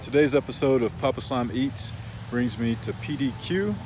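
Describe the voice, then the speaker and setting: There is noticeable background noise as a man talks at a medium pitch with ordinary pitch variation. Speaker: vlogger. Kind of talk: casual vlog. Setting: home studio; restaurant. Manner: soft-spoken.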